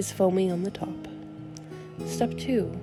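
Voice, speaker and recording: A woman keeps a moderate pace while music plays in the background. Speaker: tavern-themed cooking host. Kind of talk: recipe voiceover instructions.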